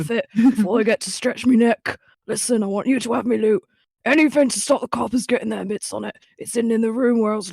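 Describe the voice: A put-on character voice, fairly high in pitch, at a very fast pace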